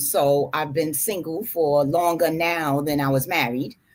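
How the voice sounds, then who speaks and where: A woman with a New York accent and a very deep, low pitch, her intonation fairly even, on a very clean recording with a silent background. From New York City, Harlem. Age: 60s. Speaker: retired housing manager, panel guest. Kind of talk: panel discussion.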